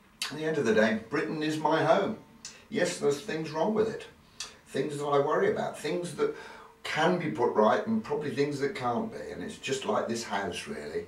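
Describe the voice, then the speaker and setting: A man speaks at a moderate pace in a fairly high pitch, his voice making very wide pitch swings. Audible room echo and noticeable background noise surround him. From England. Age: 60s. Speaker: video diarist. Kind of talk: personal video diary narration.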